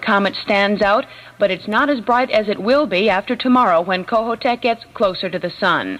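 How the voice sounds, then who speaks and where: A woman talks at a fairly quick pace in an ordinary speaking voice. Her pitch varies in an ordinary way. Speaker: radio newscaster. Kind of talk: radio news reading. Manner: brisk, professional.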